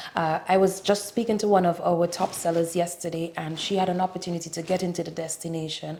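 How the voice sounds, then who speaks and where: A woman speaks very fast in a fairly low, flat monotone. Noticeable background noise sits behind her. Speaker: tourism board representative. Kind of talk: interview.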